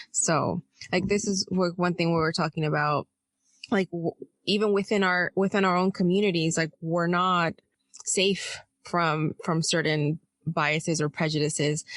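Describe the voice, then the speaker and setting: A woman with a fairly low pitch talks at a moderate pace, her intonation fairly even and her loudness very even, in a dry, close sound with no echo against a quiet background. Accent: Spanish. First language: Spanish. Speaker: podcast co-host, intuitive healer. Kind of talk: casual podcast discussion.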